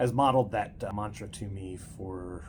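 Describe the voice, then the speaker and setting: At a moderate pace, a man speaks with a very deep, low pitch, a somewhat breathy voice, and fairly even intonation. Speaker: host and grandson interviewer. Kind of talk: casual interview talk.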